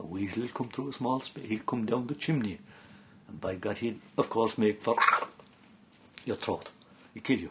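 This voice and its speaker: A man in an Irish accent talks at a moderate pace and medium pitch, with ordinary pitch variation. His loudness swings widely, and he leaves long, frequent pauses. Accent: Irish (Clare). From County Clare, Ireland. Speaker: traditional storyteller (seanchaí). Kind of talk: folk tale telling.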